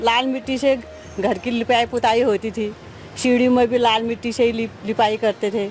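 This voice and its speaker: Music plays behind a woman whose voice is fairly high in pitch. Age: 70s. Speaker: elderly villager. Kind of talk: interview.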